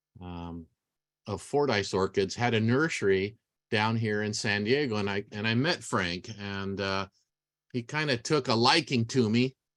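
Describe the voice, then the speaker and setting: Moving at a fairly slow pace, a man uses a normal speaking voice with fairly low pitch and ordinary pitch variation. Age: 60s. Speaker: orchid grower and speaker. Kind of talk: lecture. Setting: video call.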